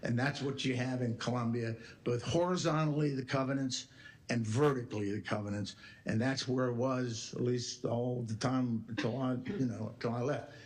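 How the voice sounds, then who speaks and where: A somewhat breathy man speaks at a moderate pace, with audible room echo. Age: 80s+. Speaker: retired attorney. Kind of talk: public talk at board meeting. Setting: board meeting. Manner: emphatic.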